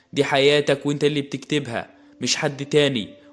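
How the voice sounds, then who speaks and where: With an Egyptian accent, a man speaks at a moderate pace in a fairly high pitch. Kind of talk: motivational podcast talk. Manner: warm, encouraging.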